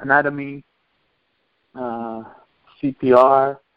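A man speaks with a Spanish accent. His voice sits at medium pitch with fairly even intonation. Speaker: soccer coach. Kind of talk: interview. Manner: halting.

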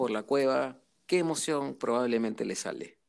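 Fairly slow pace with lively intonation. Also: man. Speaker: interviewee on emotions. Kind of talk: casual interview conversation.

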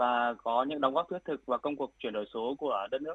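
Very fast, a man talks in a fairly high pitch. His pitch variation is ordinary. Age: 30s. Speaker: tech company founder. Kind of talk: radio interview.

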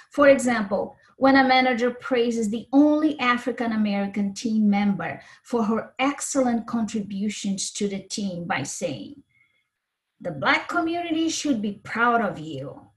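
A woman with a fairly high pitch, lively intonation and a moderate pace. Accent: Brazilian. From Brazil.

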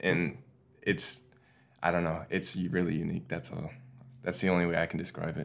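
A man's very deep, low voice with fairly even intonation, at a fairly quick pace yet with long, frequent pauses, on a very clean recording with a silent background. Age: 20s. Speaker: college student and gamer. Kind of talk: casual interview.

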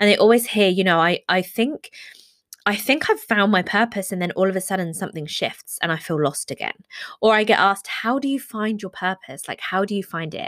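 In a very clean recording with a silent background and a dry, close sound with no echo, a woman speaks at medium pitch with ordinary pitch variation. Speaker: podcast host. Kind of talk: casual, conversational. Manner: fast talker.

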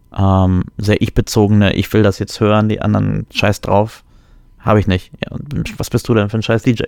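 A man speaks at a moderate pace in a fairly low voice. His intonation stays flat and monotone. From Germany. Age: 30s. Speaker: podcast co-host. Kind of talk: casual chat.

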